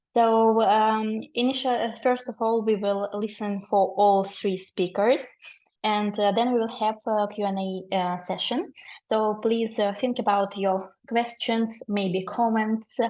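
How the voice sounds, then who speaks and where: A woman speaks at a very slow pace. Her fairly high pitch stays fairly even in intonation. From Ukraine. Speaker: webinar moderator, research fellow. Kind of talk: webinar moderation. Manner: halting, many fillers.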